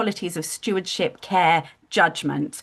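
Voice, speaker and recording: A woman speaks with a British accent and a fairly low pitch. Her intonation is lively and her pace fairly slow. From United Kingdom. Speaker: digital wellbeing studio founder. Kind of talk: live video-call community discussion. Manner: hesitant fillers.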